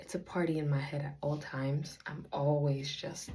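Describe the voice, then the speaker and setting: Over audible room echo, a woman speaks at a fairly slow pace in a very deep, low pitch, her tone dark, mellow and somewhat breathy. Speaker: faith vlogger, aspiring author. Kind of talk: casual vlog monologue. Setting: at home, talking to camera. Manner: deliberately slow.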